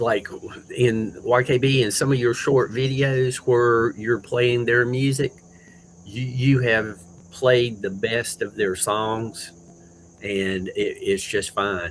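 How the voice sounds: The speech is slow, with little pitch movement. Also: man, medium pitch for a man.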